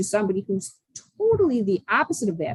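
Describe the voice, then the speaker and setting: A somewhat breathy voice with a dry, close sound and no echo. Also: woman. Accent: American. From Buffalo, New York. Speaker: social skills coach. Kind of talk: podcast interview answer. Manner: enthusiastic.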